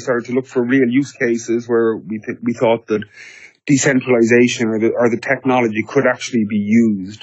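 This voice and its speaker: A man speaks at a moderate pace with an Irish accent, his medium-pitched voice delivered in a flat monotone. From Ireland. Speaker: business development director at a tech startup. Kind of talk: podcast interview.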